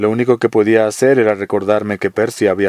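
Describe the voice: Fairly even intonation in plain reading aloud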